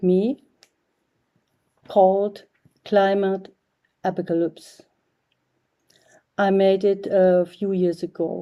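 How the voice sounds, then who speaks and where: A woman with a German accent, her dark, mellow tone at a medium pitch, monotone and flat, very slow, with long, frequent pauses. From East Germany. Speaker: artist. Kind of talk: prepared video message. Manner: halting.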